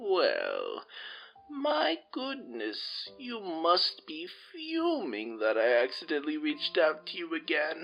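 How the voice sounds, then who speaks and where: Faint music plays in the background as a man puts on a character voice, speaking at a fairly slow pace with a high pitch. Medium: read story. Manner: gentle, meandering.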